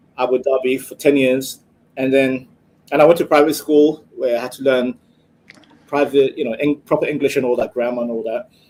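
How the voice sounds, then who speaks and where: Fairly quick speech in a British accent, monotone and flat, with big swings in loudness. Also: man, medium pitch for a man. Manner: drops T sounds.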